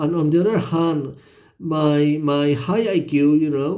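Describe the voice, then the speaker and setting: A man with a Spanish accent speaks at a fairly high pitch in a dark, mellow tone. Room echo is audible. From Spain. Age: 50s. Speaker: vlogger. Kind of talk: personal monologue vlog. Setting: hotel room at midnight. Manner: halting, many repetitions and fillers.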